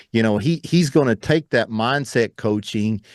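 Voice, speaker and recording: Here a man talks fairly slowly in an ordinary speaking voice at medium pitch. The sound is dry and close, with no echo. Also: quiet background. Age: 40s. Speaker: entrepreneur and mindset coach. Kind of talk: interview podcast.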